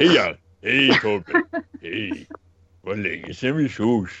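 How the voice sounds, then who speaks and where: A man does a put-on character voice at medium pitch. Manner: cheerful, greeting warmly.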